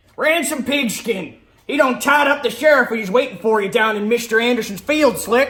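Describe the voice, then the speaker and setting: Putting on a character voice, a man speaks at an extremely high pitch and a moderate pace, with ordinary pitch variation. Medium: audio drama.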